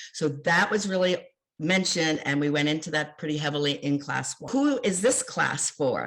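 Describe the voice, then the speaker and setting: A woman speaks in an American accent with an unremarkable speaking voice. Her pace is moderate and her intonation lively. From Philadelphia, US. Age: 60s. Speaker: life and love coach. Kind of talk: online class lecture. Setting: live online class.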